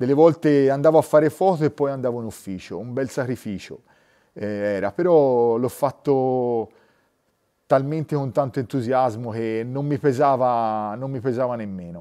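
The dark, mellow voice takes big swings in loudness. The background stays quiet. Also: man, medium pitch for a man, ordinary pitch variation, moderate pace. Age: 40s. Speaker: nature photographer. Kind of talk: interview. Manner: halting, with repetitions and fillers. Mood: enthusiastic storytelling. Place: studio.

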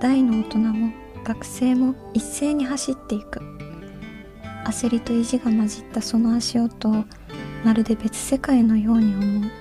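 Clear music plays in the background as a woman with a fairly high pitch talks with fairly even intonation and long, frequent pauses. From Kansai, Japan. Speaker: voice actress and idol. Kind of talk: short diary-style reading. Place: studio. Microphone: studio mic.

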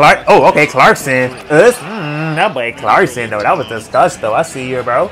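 A man talks at a moderate pace with a fairly high pitch and very wide pitch swings. He hardly pauses, and faint music plays in the background. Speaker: sports reaction YouTuber. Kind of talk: casual play-by-play reaction commentary over game highlights. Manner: excitable, bursts of hype like "Oh, okay. Oh, yeah, yeah". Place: home room. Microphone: webcam.

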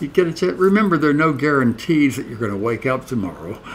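A man with a fairly high voice swings his pitch very widely over light background noise. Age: 80s+. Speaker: author. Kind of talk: casual talk to camera. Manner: upbeat. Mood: warm, upbeat, smiling. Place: home room. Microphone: webcam.

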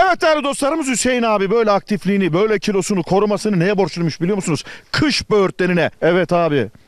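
A man talks at a very fast pace in an animated tone, his pitch high and his loudness very even. The sound is dry with no echo, and the background is quiet. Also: lively intonation, hardly any pauses. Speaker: travel show host; TV travel show host. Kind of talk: casual on-location chat. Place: open country. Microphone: handheld.

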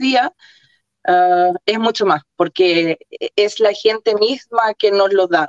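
A woman at a medium pitch speaks fairly slowly with ordinary pitch variation, in a dry sound with no echo and a quiet background. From Chile. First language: Croatian (speaking Spanish). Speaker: football fan, coach's daughter; coach's daughter. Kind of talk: interview. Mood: warm, emotional. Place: home room. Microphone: video call.

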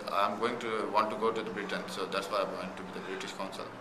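A man with a Pakistani accent over noticeable background noise. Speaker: cricketer. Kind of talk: interview answer. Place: home room.

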